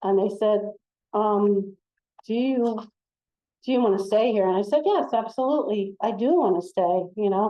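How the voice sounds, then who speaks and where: An American woman with a fairly high pitch speaks at a moderate pace, using ordinary pitch variation. Her loudness is very even, broken by long, frequent pauses. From US, central Pennsylvania. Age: 60s. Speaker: former social worker, speaker. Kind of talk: personal testimony. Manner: halting, many fillers and repeats; animated.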